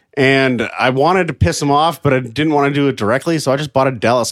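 On a very clean recording with a silent background, a man speaks at medium pitch in a plain, everyday voice. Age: 30s. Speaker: podcast guest. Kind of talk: casual chat. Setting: host's apartment.

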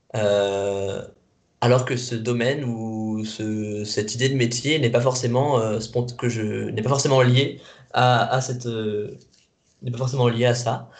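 Audible room echo surrounds a man at a medium pitch. He speaks very slowly in a monotone, flat intonation. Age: 20s. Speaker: youth guidance volunteer. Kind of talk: interview. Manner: halting.

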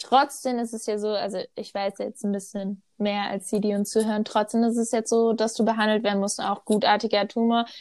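This woman's voice sits at a fairly high pitch, with monotone, flat intonation. She speaks with hardly any pauses. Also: moderate pace. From North Rhine-Westphalia, Germany. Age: 20s. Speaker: podcast co-host. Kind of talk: casual chat.

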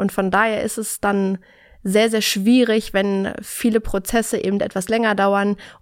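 On a very clean recording with a silent background, a woman at medium pitch speaks at a fairly slow pace in a monotone, flat delivery. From Berlin, Germany. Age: 30s. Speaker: recruiter. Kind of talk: interview.

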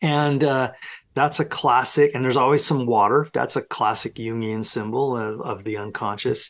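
This is an ordinary speaking voice from a man at a moderate pace. His pitch varies in an ordinary way, over a quiet background. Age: 60s. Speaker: professor. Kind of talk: casual interview conversation.

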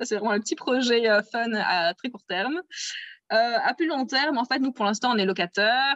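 A plain, everyday voice at a moderate pace, with ordinary pitch variation. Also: woman. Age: 30s. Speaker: interviewee on love story. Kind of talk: personal storytelling interview.

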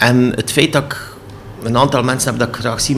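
Over noticeable background noise, a man speaks in a Flemish accent. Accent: Flemish Dutch. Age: 60s. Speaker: cultural centre director. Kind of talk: interview. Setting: office. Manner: halting.

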